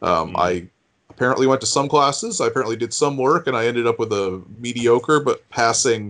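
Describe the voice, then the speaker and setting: A man with an ordinary speaking voice talks at a fairly quick pace, medium in pitch with ordinary pitch variation and very even loudness, against a quiet background. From US New England. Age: 40s. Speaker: news digest writer. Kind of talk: interview.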